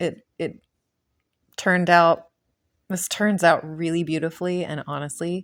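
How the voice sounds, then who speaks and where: Mumbling, a woman talks at a fairly slow pace in a fairly low voice with fairly even intonation. The recording is very clean, with a silent background. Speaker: acrylic pour painter. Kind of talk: tutorial. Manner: casual, hesitant.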